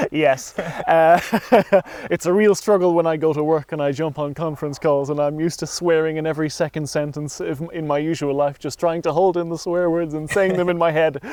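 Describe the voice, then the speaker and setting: Over noticeable background noise, a man with a western Irish accent speaks fairly quickly at a fairly high pitch. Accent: Irish (west of Ireland). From Ireland, County Mayo. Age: 20s. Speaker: interviewee. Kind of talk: casual interview. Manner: animated, varied pitch.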